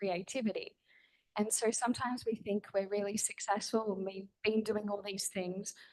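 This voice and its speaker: An ordinary speaking voice, a woman's, fairly high in pitch, at a moderate pace. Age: 30s. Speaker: author and speaker. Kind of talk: panel talk at book launch. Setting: event with audience.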